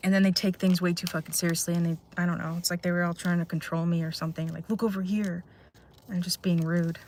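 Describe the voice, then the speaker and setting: Speaking very fast in a flat monotone, a woman with a fairly low, somewhat breathy voice runs through her words. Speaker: live streamer. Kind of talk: casual chat. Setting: in a car.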